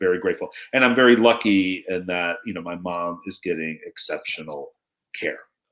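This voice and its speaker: A man at a fairly quick pace with big swings in loudness. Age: 50s. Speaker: storytelling consultant and author. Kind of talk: interview answer.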